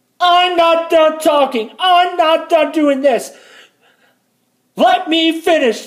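A woman shouts in a put-on, whiny character voice at an extremely high pitch, with very even loudness. Her pace is very slow, with long, frequent pauses. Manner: screaming, whiny, mocking.

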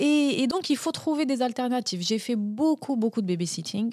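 A dark, mellow tone at a fairly slow pace with lively intonation, in a very clean recording against a silent background. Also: woman. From Algeria. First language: Algerian Arabic (speaking French). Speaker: journalist and video maker. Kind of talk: interview.

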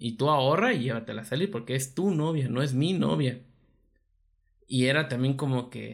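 Here a man speaks with a Mexican accent at a medium pitch. His pitch variation is ordinary. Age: 20s. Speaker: podcast co-host. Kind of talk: casual chat.

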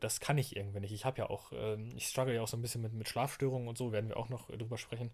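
The voice is somewhat breathy and races along at a very fast pace. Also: man. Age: 20s. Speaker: podcast host. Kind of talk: solo podcast monologue. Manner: hesitant, many fillers.

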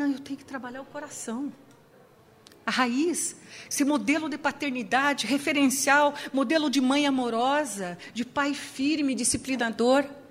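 A woman with a high voice talks fairly slowly, her intonation fairly even. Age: 60s. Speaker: psychologist. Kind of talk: sermon. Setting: church with audience.

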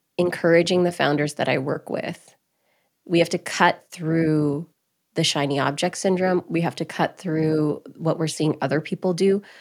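Someone with a Canadian accent speaks in an unremarkable speaking voice with fairly even intonation on a very clean recording with a silent background. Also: woman. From Alberta, Canada (Grande Prairie). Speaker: entrepreneur and interviewer. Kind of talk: podcast interview.

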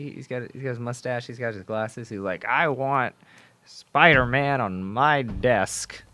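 A man with a bright, sharp tone speaks at a moderate pace with big swings in loudness, in a very clean recording with a silent background. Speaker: student podcast host. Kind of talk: casual chat. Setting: studio.

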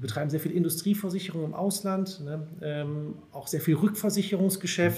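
Here a man talks at a moderate pace with a high pitch, a dark, mellow tone and ordinary pitch variation. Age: 30s. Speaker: HR department head. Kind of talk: casual interview.

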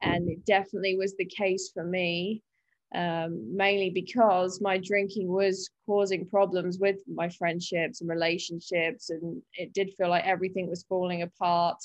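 At a moderate pace, a woman of medium pitch speaks with a British accent in a monotone, flat intonation. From UK. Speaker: recovering alcoholic sharing her story. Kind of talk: interview, personal testimony.

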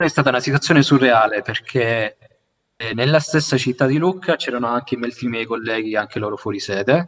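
Here a man with an unremarkable speaking voice talks at a fairly quick pace, medium pitch and ordinary pitch variation. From Sicily (Milazzo). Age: 20s. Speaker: university student. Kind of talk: casual chat. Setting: video call.

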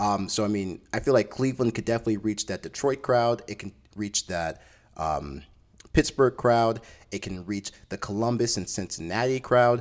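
With ordinary pitch variation, an unremarkable speaking voice is heard in a very clean recording against a silent background. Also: man, medium pitch for a man. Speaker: podcast host. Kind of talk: angry rant about a tour announcement, venting to listeners. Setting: solo podcast recording. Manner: irate, frustrated and fast-paced, with repeated restarts as he vents; conversational and chatty.

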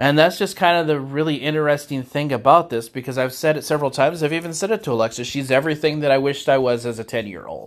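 A man with an American accent talks at a very fast pace with hardly any pauses and ordinary pitch variation. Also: fairly high pitch for a man. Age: 40s. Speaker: faith podcast host. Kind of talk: personal solo monologue. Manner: halting.

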